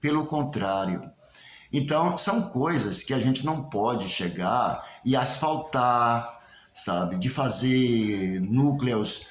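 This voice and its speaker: Amid noticeable background noise and audible room echo, a man speaks at a very slow pace and medium pitch, with lively intonation and very even loudness. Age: 70s. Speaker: local historian and candomblé researcher. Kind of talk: spoken video message to community. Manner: hesitant, with fillers and repetitions.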